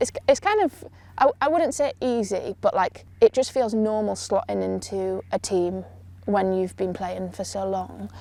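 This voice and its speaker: A woman speaks quietly at a moderate pace. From Yorkshire, northern England. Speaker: rugby player. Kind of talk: interview. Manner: quiet, introverted; hesitant, filler-heavy.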